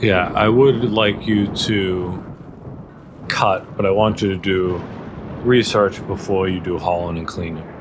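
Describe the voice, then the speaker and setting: Over noticeable background noise, a man with a very deep, low voice speaks at a fairly slow pace with ordinary pitch variation. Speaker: gaming youtuber. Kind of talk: gameplay tutorial commentary. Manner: loud; casual with fillers.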